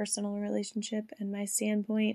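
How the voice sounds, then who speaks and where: A woman's dark, mellow tone in a dry, close sound without echo. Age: 30s. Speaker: podcast host. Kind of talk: solo monologue. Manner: hesitant, many fillers.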